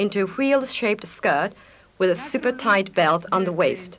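The tone is upbeat and enthusiastic. Light background noise can be heard. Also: woman. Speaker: fashion commentator. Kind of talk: 1984 fashion show narration, scripted voiceover. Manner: formal, polished, brisk announcer-style delivery; upbeat, enthusiastic, lively tone. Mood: calm, appreciative. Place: studio.

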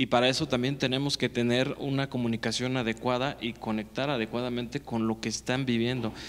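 Speaking fairly quickly, a man delivers his words in a flat monotone. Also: hardly any pauses. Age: 30s. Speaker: electoral institute councillor. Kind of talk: panel discussion. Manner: halting, many repetitions. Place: studio. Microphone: handheld.

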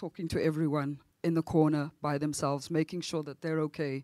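A woman's fairly low voice, dry with no echo, against a quiet background. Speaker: jazz singer; panelist. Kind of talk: panel talk. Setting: stage with audience. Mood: reflective, emotional. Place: stage. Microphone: handheld.

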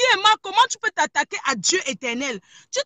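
A woman projects a raised, animated voice at an extremely high pitch, bright and sharp in tone, at a moderate pace, on a dry recording with no echo and a quiet background. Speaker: caller. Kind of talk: heated debate. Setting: in a car. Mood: firm, confrontational. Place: car. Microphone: phone near.

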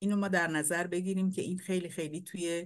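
A woman's fairly low-pitched voice against a quiet background. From Iran, Abadan; Iran. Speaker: painter and poet; poet. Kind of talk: lecture. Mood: warm, reflective. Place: home room. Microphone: webcam.

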